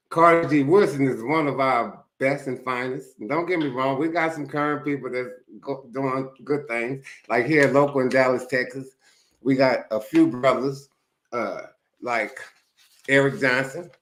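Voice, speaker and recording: A man talks at a moderate pace with a medium pitch. His intonation stays fairly even. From US Northeast, Philadelphia. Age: 60s. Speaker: YouTube commentator. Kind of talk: casual monologue.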